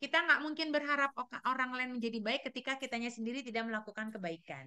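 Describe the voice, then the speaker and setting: A woman speaks with a high pitch. Her tone is bright and sharp. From Sulawesi, Indonesia. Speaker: teacher. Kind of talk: presentation to colleagues. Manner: loud; halting with fillers.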